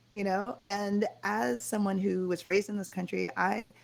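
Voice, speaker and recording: A woman with an American accent, medium pitch and a moderate pace. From Connecticut, US (Jamaican-born). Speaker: fashion designer and author. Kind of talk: interview.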